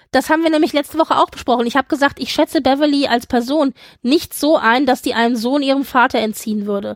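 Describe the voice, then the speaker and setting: Speaking at a very fast pace, a woman uses a high pitch and an animated tone with ordinary pitch variation. The sound is dry and close, with no echo. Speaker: podcast co-host. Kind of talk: casual chat.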